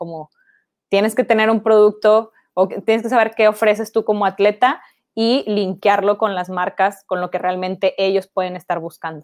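A woman talks at a moderate pace and a medium pitch with fairly even intonation, in an ordinary speaking voice, the sound dry and close with no echo. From Mexico, Ciudad Victoria (Tamaulipas). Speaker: sports marketing agency co-founder. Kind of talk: online talk / interview. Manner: casual, many filler words.

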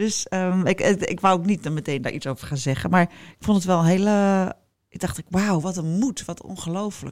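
On a very clean recording with a silent background, a woman speaks at a moderate pace. Her pitch is medium, with ordinary pitch variation. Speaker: podcast host. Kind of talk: casual chat.

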